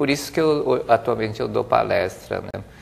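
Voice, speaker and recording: There is noticeable background noise. A man is speaking over it. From Brazil, interior of São Paulo state. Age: 60s. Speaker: business administrator and speaker. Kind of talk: interview.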